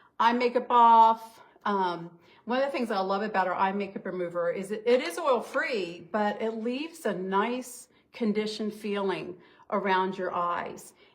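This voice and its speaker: Fairly high in pitch, a woman talks at a moderate pace in a normal speaking voice with ordinary pitch variation. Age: 60s. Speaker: beauty consultant. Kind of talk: makeup tutorial. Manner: casual, chatty.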